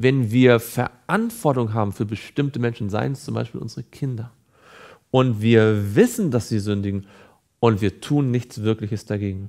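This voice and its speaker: Against a quiet background, a man with a dark, mellow tone speaks at a moderate pace with ordinary pitch variation. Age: 30s. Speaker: evangelist. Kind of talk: Bible teaching / devotional. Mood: calm, earnest. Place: studio.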